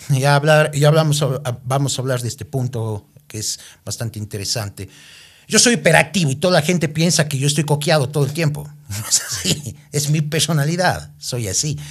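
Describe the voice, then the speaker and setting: At a moderate pace, an animated, somewhat breathy voice with ordinary pitch variation comes through in a very clean recording with a silent background. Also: man, fairly high pitch for a man. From Ecuador, Cuenca. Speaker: reality show winner and TV personality. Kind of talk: casual interview.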